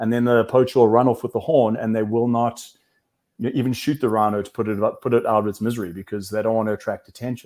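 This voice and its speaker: Very fast speech with fairly even intonation comes through on a very clean recording with a silent background. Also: man, medium pitch for a man. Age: 40s. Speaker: wildlife conservationist and entrepreneur. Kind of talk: interview.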